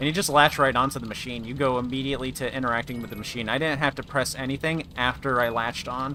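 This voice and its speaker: A man talks at a very fast pace with hardly any pauses, his pitch medium and his intonation fairly even. Noticeable background noise runs underneath. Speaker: gaming streamer. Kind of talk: live gameplay commentary.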